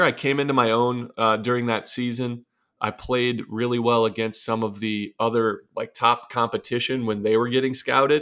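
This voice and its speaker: At a moderate pace, a man with an American accent talks in a medium-pitched voice with a bright, sharp tone. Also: very clean recording, silent background. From US Midwest, northwest Ohio. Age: 30s. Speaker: former pro baseball pitcher. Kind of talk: casual interview.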